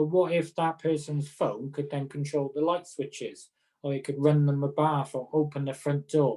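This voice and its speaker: Speaking at a moderate pace in a Welsh accent, a man has a fairly high pitch and a dark, mellow tone. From Wales. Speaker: occupational therapist. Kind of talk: casual chat.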